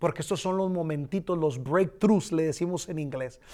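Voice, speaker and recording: Here a man speaks in a high pitch. The recording is very clean, with a silent background. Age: 40s. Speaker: pastor. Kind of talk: bible study teaching.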